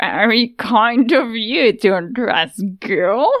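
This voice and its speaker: In a put-on character voice, a woman cackles with a menacing tone at a very slow pace in a fairly high pitch. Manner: cackling, menacing.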